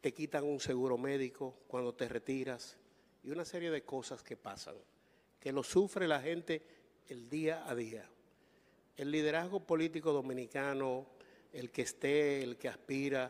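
The speaker talks at a fairly slow pace with fairly even intonation, leaving long pauses again and again. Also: man, fairly high pitch for a man. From Dominican Republic. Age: 60s. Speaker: journalist; journalist asking question. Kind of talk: press question. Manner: formal. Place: hall. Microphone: handheld.

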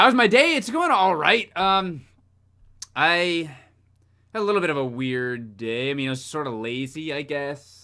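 Against a quiet background, a man with a fairly high pitch speaks in an animated, bright and sharp tone, with very wide pitch swings and long, frequent pauses. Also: fairly slow pace. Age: 20s. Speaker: gaming streamer. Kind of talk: live gameplay stream chat. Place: home room.

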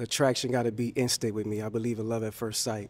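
A man with a New Orleans accent. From US South (Louisiana). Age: 40s. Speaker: aircraft mechanic, dating show contestant. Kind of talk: dating show conversation. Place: studio. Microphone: handheld.

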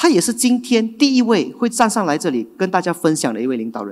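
A high-pitched man at a fairly quick pace, very wide pitch swings, quiet background. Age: 20s. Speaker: event emcee and general manager; event emcee. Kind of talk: event hosting. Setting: stage with audience. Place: hall. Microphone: handheld.

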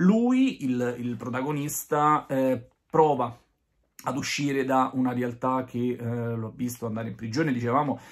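A man's intonation stays fairly even, with nothing but quiet in the background. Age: 30s. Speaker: film reviewer. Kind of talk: video review monologue. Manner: hesitant, many fillers. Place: home room. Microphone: phone near.

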